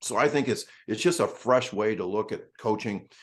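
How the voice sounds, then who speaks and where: At a moderate pace and with ordinary pitch variation, a man talks over a quiet background. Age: 60s. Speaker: speed coach. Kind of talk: podcast interview.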